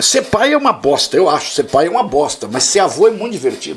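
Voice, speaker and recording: Against noticeable background noise, a man speaks at a very fast pace in a high pitch. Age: 60s. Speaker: history teacher. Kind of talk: casual debate. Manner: animated.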